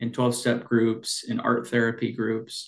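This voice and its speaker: This man talks at a medium pitch in a Pacific Northwest accent. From Washington state, Snohomish County. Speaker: addiction medicine clinician and clinic owner. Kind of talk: interview.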